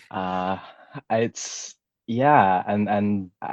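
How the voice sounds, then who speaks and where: In a dry, close recording with no echo, a man with an unremarkable speaking voice talks at a fairly low pitch with fairly even intonation. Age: 20s. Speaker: filmmaker. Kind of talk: casual chat.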